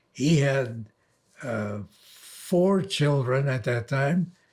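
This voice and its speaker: Very slowly, a somewhat breathy man speaks in a medium pitch with ordinary pitch variation. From Netherlands. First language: Dutch. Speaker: elderly man telling his life story. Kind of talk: oral history recollection. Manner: halting, with fillers.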